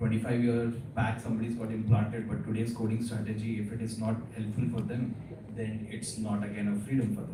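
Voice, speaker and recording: A soft-spoken man at a fairly quick pace, monotone and flat, with noticeable background noise and audible room echo. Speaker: cochlear implant specialist speaker. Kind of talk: lecture. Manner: hesitant with many fillers; soft, low.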